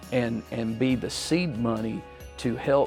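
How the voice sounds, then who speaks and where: Over music in the background, a man with a Southern US accent talks very slowly. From US South, Tennessee. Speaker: politician. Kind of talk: interview answer. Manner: halting.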